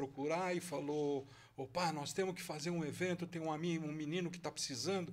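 An unremarkable speaking voice, male and fairly high-pitched, moderately paced and with fairly even intonation. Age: 60s. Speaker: jiu-jitsu master. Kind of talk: casual interview.

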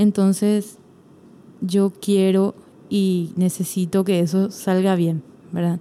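A woman speaks in a dark, mellow tone. Her intonation stays monotone and flat. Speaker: church choir singer and hairdresser. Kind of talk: casual interview chat.

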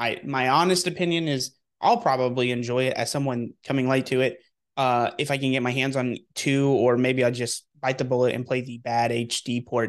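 Over a quiet background, a man in an unremarkable speaking voice talks at a medium pitch and moderate pace with fairly even intonation. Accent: American. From Texas. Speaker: gaming podcast co-host. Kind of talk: casual chat.

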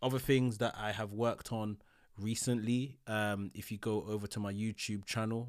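On a very clean recording with a silent background, a man with a London accent speaks at a moderate pace and medium pitch, his intonation fairly even. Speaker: podcast host. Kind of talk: casual chat. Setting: home recording.

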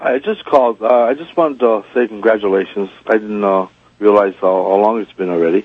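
A man's plain, everyday voice, fairly low in pitch, with ordinary pitch variation and a fairly quick pace. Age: 50s. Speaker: gunsmith, radio caller. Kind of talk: call-in conversation.

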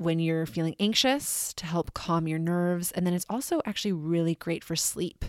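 A plain, everyday voice from a woman, fairly low in pitch with ordinary pitch variation, dry and close with no echo on a very clean recording with a silent background. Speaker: podcast host. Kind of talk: guided meditation. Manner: slow, calm, soothing; gentle, measured pacing with pauses.

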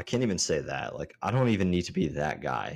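A man with an American accent speaks in a very deep, low pitch. Vocal fry colors his lively intonation. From Maryland, US. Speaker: podcast co-host. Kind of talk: casual chat. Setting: video call.

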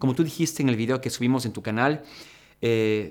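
Using an unremarkable speaking voice, a man talks fairly quickly at a medium pitch with ordinary pitch variation. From Ecuador. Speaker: fitness content creator. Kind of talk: casual podcast chat.

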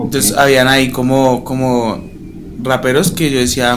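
His words come at a fairly quick clip. The man's voice carries audible echo from the room. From Colombia, Bogotá. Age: 20s. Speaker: journalism student and rapper. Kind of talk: interview.

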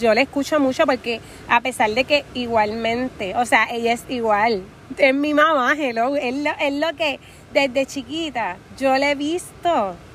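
A woman's high-pitched voice moves along at a fairly slow pace. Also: ordinary pitch variation. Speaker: podcast host. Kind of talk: casual motivational monologue. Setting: outdoors at the beach. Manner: animated.

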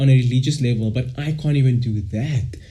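His voice is somewhat breathy, with a dark, mellow tone at a moderate pace. Audible room echo fills the recording. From South Africa, Cape Town. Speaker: podcast co-host. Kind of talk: casual chat.

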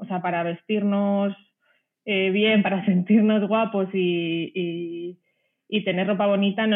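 A woman speaks at a moderate pace with a medium pitch and fairly even intonation. It is an ordinary speaking voice. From Spain, Ciudad Real (Castilla-La Mancha). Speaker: sustainable sportswear brand founder, former journalist. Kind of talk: interview conversation.

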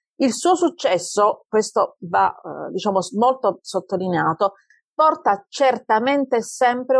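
A woman with a strong Apulian accent talks at a moderate pace with lively intonation, in a dry, close sound with no echo over a quiet background. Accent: Taranto accent, kept strong. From Taranto, southern Italy. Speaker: computer scientist, researcher. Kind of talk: interview conversation.

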